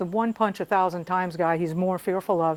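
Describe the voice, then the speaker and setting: With an unremarkable speaking voice, a woman talks at a fairly quick pace with ordinary pitch variation on a very clean recording with a silent background. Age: 60s. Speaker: jiu jitsu student. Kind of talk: casual talk to camera.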